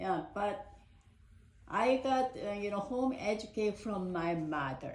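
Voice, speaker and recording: A woman speaks very slowly in a Korean accent, her medium pitch moving with lively intonation. Room echo is audible. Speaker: parent. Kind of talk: casual chat. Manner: halting.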